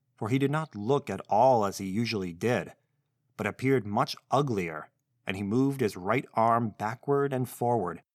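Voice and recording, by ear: Over a quiet background, ordinary pitch variation while reading aloud in a natural voice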